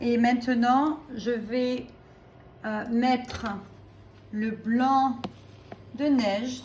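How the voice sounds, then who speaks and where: With noticeable background noise and audible room echo, a woman with a French accent speaks very slowly at a fairly high pitch. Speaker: French teacher. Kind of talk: cooking tutorial with language teaching. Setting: home kitchen.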